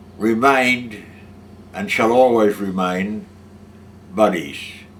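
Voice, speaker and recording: Audible room echo around a man at medium pitch, fairly slow in pace, with ordinary pitch variation. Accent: Australian. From Australia. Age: 80s+. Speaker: war veteran. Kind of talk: testimony. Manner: halting.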